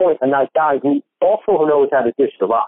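A man with an unremarkable speaking voice, fairly high in pitch, at a fairly quick pace. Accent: American. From New Jersey. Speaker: sports podcast host, guest. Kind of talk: casual interview chat. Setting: phone call.

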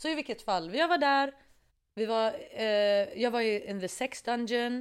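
A woman's fairly high, lively voice, an ordinary speaking voice, on a very clean recording with a silent background. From Iraqi family background. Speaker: musician. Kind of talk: casual chat. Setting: studio.

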